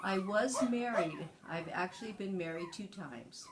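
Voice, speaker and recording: A woman with an American accent at a medium pitch, fairly slow, with ordinary pitch variation, amid noticeable background noise and audible room echo. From California. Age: 60s. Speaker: grandparent being interviewed. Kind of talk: interview.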